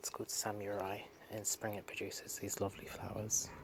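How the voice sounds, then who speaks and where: A somewhat breathy man with a British accent, monotone and flat in intonation, at a moderate pace. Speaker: gardening vlogger. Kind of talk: casual garden vlog. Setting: outdoors in garden.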